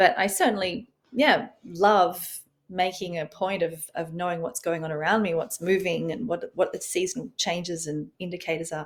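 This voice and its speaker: In an Australian accent, a woman speaks with a fairly low pitch. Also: ordinary pitch variation, moderate pace. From Australia, rural farm. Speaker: author and rewilding expert. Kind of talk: interview podcast. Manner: calming.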